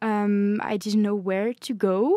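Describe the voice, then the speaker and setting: A woman with a French accent has a dark, mellow tone, heard dry and close with no echo on a very clean recording with a silent background. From France. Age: 20s. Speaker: law student. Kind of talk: casual chat. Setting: studio.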